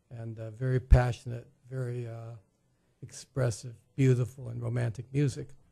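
Somewhat breathy, this voice has a dark, mellow tone over a quiet background. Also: man. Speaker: guest. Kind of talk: interview introduction. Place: studio. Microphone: studio mic.

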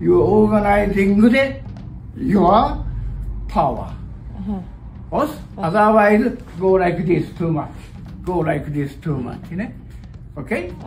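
Speaking with a Japanese accent, a man has a high pitch. He talks at a very slow pace over light background noise. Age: 70s. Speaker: karate master. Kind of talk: martial arts instruction. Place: gym. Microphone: camera far.

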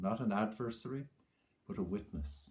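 With an Irish accent, this man has a fairly low pitch and a somewhat breathy voice against a quiet background. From Ireland. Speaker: poet. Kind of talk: tribute talk then poem reading aloud. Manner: measured, reflective, warm; lyrical, slow, hushed reading of the poem. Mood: warm, reflective remembrance. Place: home room. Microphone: webcam.

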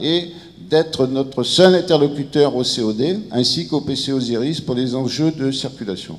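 The man's pitch moves in an ordinary way. He talks fairly slowly. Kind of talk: conference presentation. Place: meeting room. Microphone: handheld.

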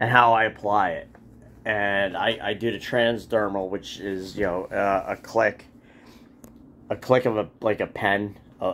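A man speaks fairly slowly at a fairly low pitch, pausing long and often. His intonation is monotone and flat, with light background noise behind him. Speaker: cat owner and video creator. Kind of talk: casual talk to camera. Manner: rambling, hesitant. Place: home room. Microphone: phone near.

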